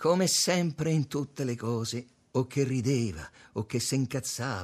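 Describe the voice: The pitch shifts in an ordinary way during this plain reading aloud.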